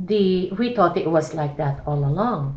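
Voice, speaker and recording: Fairly slow and fairly low-pitched, this woman's somewhat breathy voice has a dark, mellow tone, with audible room echo. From Philippines. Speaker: church missionary. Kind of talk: casual chat.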